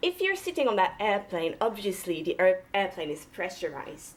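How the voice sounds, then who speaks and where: Her pitch varies in an ordinary way as a woman speaks at a fairly quick pace. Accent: French Canadian. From Quebec, French Canada. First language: French. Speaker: cardiologist and mountaineer. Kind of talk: public lecture.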